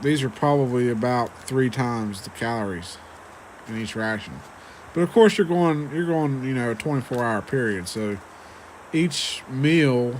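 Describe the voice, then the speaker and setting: A man with an American accent, medium pitch, ordinary pitch variation and a moderate pace. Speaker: ration reviewer. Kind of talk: casual video review. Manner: hesitant, many fillers.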